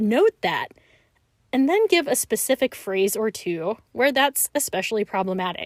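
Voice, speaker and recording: Using an ordinary speaking voice, a woman of fairly high pitch speaks at a moderate pace with lively intonation in a dry, close sound with no echo. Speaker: piano teacher; podcast host. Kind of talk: podcast talk to music teachers.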